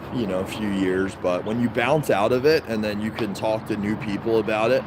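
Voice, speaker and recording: A man's fairly low voice at a moderate pace, fairly even in intonation, over noticeable background noise. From Baltimore, Maryland (US). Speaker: livestreamer. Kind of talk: casual livestream chat. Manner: casual, rambling with fillers.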